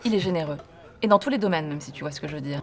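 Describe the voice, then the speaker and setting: A woman speaks very fast with lively intonation at a very deep, low pitch. Noticeable background noise sits behind her. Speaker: actress. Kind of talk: film and TV drama scenes. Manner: provocative, cutting.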